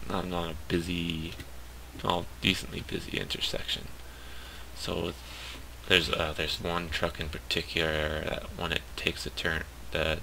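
Whispering from a man. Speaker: game commentator. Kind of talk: casual gameplay commentary.

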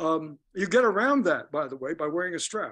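The man's voice is high in pitch, with lively intonation. He keeps a moderate pace. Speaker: clarinetist and periodontist; guest. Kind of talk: interview. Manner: halting. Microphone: video call.

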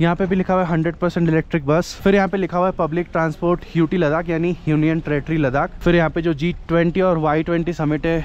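A high-pitched man speaks at a fairly quick pace with hardly any pauses, monotone, flat intonation, and very even loudness. The sound is dry, with no echo. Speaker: travel vlogger. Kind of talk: casual vlog chat. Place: station. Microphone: phone near.

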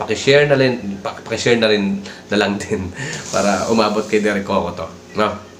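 A man's fairly low voice at a fairly quick pace, fairly even in intonation, with noticeable background noise and audible room echo. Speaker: vlogger. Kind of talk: casual commentary.

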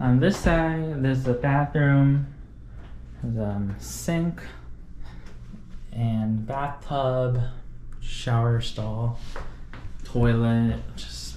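A man at a very slow pace with long, frequent pauses, with audible room echo and light background noise. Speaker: student vlogger. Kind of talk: casual vlog chat. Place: home room. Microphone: phone near.

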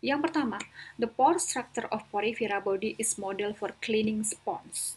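A woman uses an unremarkable speaking voice, fairly high in pitch with ordinary pitch variation, at a fairly slow pace. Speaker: biology teacher. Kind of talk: lecture. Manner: mixes Indonesian and English.

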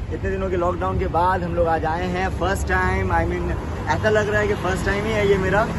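A man speaks fairly quickly as loud noise fills the background. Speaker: food vlogger. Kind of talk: casual vlog chat. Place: street. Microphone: phone near.

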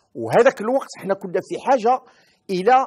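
A man's speech, at a moderate speed, sits against a quiet background. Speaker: interviewee. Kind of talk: interview answer. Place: studio.

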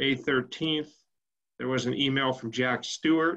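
Over a quiet background, a man talks at a fairly slow pace with monotone, flat intonation. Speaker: agency staff member. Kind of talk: public board meeting. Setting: video call. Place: home room. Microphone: video call.

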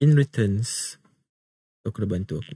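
With lively intonation, a man speaks in a dark, mellow, somewhat breathy voice. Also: quiet background, dry sound with no echo. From Malaysia. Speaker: voice actor. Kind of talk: whispered ASMR roleplay, kidnapper scene. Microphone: studio mic.

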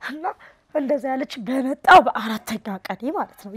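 Against a quiet background, a woman with a high pitch speaks with lively intonation. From Ethiopia, Harar; Ethiopia. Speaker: displaced widowed mother. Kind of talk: interview testimony. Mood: emotional, pleading. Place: home room. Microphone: lapel.

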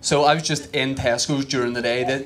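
Over light background noise, a man with a Northern Irish accent speaks with fairly even intonation. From Northern Ireland. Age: 30s. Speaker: stand-up comedian. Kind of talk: stand-up comedy set. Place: stage. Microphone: handheld.

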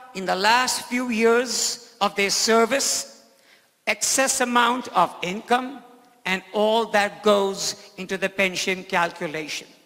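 A man speaks in a raised, projected voice at an extremely high pitch. His pace is very slow, with ordinary pitch variation. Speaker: state legislator and political candidate; candidate. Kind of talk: political debate. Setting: stage with audience. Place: stage. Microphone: handheld.

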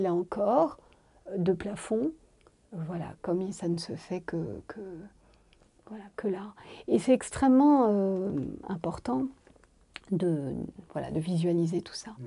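Very slow and broken by long, frequent pauses, a woman's dark, mellow voice has very wide pitch swings and big swings in loudness. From Morocco. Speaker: architect. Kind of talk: interview. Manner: halting, with many fillers. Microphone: lapel.

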